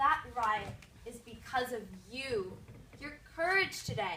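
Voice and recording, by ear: A woman puts on a character voice with a bright, sharp tone and lively intonation. She speaks at a slow pace, with audible room echo. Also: fairly high pitch for a woman.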